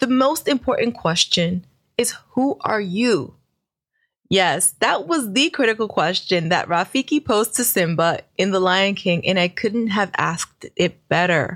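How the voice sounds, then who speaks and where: A woman with an American accent speaks at a fairly slow pace and a medium pitch, with lively intonation in a plain, everyday voice. The sound is dry and close with no echo, and her loudness stays very even. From New York, Brooklyn. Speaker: podcast host and business coach. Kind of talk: solo podcast monologue.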